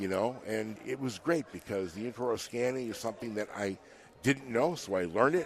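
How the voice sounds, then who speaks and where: With an American accent, a man talks at a fairly quick pace, at medium pitch with ordinary pitch variation. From Chicago. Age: 60s. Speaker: dental technician. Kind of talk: casual chat. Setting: convention booth studio. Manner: halting, repetitive.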